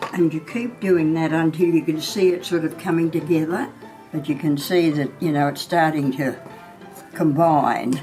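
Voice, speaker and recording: A woman speaks in a very deep, low voice with fairly even intonation while music plays in the background. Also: moderate pace. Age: 90s. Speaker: home baker, Country Women's Association member. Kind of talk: cooking demonstration to camera.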